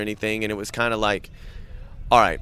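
A man speaks with a Southern US accent. His voice has a bright, sharp tone at a medium pitch. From US South, Savannah, Georgia. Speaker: metal band drummer and singer. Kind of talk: casual chat. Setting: outdoors by a waterway in Brooklyn.

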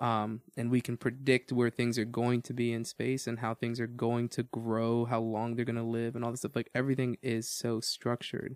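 In a dry, close sound with no echo, a man speaks at a moderate pace in a monotone, flat intonation. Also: medium pitch for a man, hardly any pauses. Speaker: podcast host. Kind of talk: casual Bible discussion. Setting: church studio.

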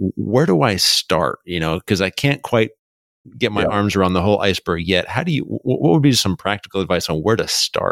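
A man talks in an ordinary speaking voice at a fairly quick pace, with lively intonation and a fairly low pitch. The sound is dry and close, with no echo. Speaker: podcast host. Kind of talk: podcast intro and interview.

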